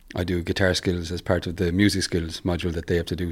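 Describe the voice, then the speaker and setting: A man with a Limerick accent and a very deep, low pitch, at a very fast pace, in a very clean recording with a silent background. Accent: Irish (Limerick). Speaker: musician and music teacher. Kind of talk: interview. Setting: in person at a university.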